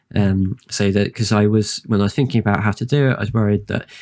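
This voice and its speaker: A soft-spoken man with a British accent talks at a very fast pace, fairly low in pitch and fairly even in intonation. The sound is dry and close, with no echo. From UK. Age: 30s. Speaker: streamer. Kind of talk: casual chat. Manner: halting.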